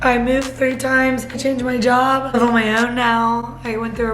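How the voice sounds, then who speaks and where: The intonation stays monotone and flat. Music plays in the background, and the room echo is audible. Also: woman. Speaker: vlogger. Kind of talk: casual Q&A vlog. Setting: at home on the couch.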